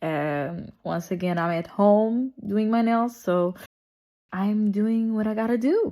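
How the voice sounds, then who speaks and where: With a Portuguese accent, a woman speaks at a fairly slow pace in a dark, mellow tone with ordinary pitch variation. The recording is very clean with a silent background. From Portugal. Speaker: nail artist. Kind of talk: tutorial. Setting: at home. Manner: casual, chatty.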